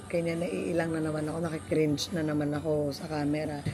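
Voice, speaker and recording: A woman with a very deep, low pitch for a woman talks at a moderate pace with ordinary pitch variation, and noticeable background noise sits behind her. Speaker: travel vlogger. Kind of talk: vlog.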